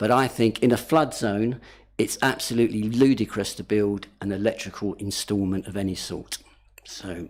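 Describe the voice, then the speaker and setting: A man with an unremarkable speaking voice talks at a moderate pace and fairly low pitch, his intonation fairly even but his loudness swinging widely. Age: 60s. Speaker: local councillor. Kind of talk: committee debate.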